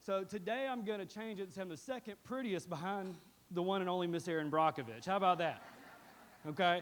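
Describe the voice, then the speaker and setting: With an animated tone, a man talks at a fairly quick pace. His pitch is high, with ordinary pitch variation. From East Alabama. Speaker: attorney. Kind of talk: town hall address.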